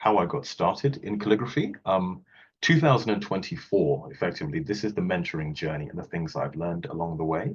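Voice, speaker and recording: A very deep, low-pitched man with a British accent, fairly quick in pace, with very wide pitch swings. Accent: non-Australian, British accent noted. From Wales, UK. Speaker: calligrapher and technology auditor. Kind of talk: online presentation talk. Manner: casual, light humour, some fillers.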